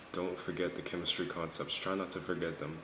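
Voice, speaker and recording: A man speaks quietly at a moderate pace in a monotone, flat intonation, with noticeable background noise and audible room echo. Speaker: pre-med college student vlogger. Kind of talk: casual vlog. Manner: quiet, low voice.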